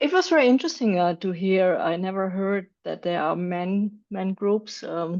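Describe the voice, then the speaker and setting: Against a quiet background, a woman speaks with a German accent at a medium pitch. She goes fairly slowly with ordinary pitch variation. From Germany. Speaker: club member. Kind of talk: casual chat. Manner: halting.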